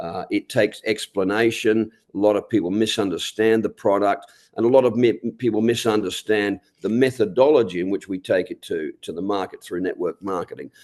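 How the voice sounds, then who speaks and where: In a dry, close recording with no echo and a quiet background, a man speaks at a fairly low pitch with fairly even intonation. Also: fairly quick pace. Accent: Australian. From Australia. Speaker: network marketing leader. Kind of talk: motivational talk.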